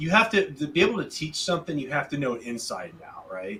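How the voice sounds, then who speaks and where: A man speaks with a slight Southern US accent. His delivery is fairly quick, with lively intonation. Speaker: podcast co-host, visual effects artist. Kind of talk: casual chat.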